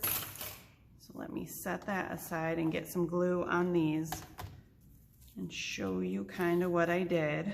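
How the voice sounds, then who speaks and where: A soft-spoken woman at a fairly low pitch and very slow pace, fairly even in intonation, with audible room echo and noticeable background noise. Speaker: crafting tutorial host. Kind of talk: tutorial. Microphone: too quiet, no proper microphone yet.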